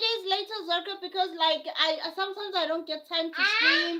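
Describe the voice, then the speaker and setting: With a South African accent, a woman projects a raised, extremely high-pitched, bright and sharp voice, her intonation lively and hardly any pauses between words. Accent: South African (Zulu). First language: Zulu. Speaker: live streamer. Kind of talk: casual live stream chat. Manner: repetitive, halting.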